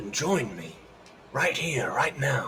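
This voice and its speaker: A man's raspy, put-on character voice with a calm tone over clear background noise. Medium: actual play. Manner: calm, lofty, certain.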